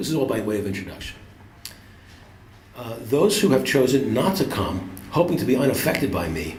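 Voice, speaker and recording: Speaking at a fairly quick pace, a man uses a medium pitch with very wide pitch swings and long, frequent pauses. There is audible room echo and noticeable background noise. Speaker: poet and author. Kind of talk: reading aloud. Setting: stage with audience.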